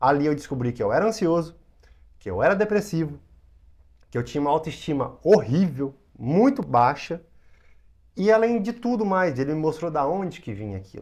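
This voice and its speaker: A fairly high-pitched man at a moderate pace, with very wide pitch swings and long, frequent pauses, on a very clean recording with a silent background. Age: 20s. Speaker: hypnotherapist. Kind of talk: interview.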